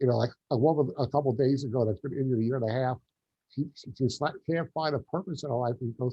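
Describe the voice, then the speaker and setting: A man's very fast, somewhat breathy speech with a New York accent, medium pitch and ordinary pitch variation. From New York, Long Island. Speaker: quadriplegic gardener and motivational speaker. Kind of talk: interview.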